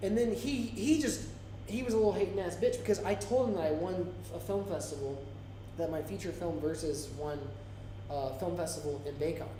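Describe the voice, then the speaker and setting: Speaking at a fairly quick pace in an American accent, a man with a fairly high pitch sounds animated, his pitch swinging very widely, with audible room echo and noticeable background noise. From Florida. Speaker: indie filmmaker and English teacher, live stream co-host. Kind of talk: casual chat. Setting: live stream.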